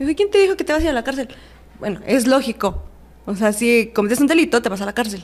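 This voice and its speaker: A woman speaks very fast in a high voice, her intonation lively. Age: 20s. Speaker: prison inmate. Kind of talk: testimony.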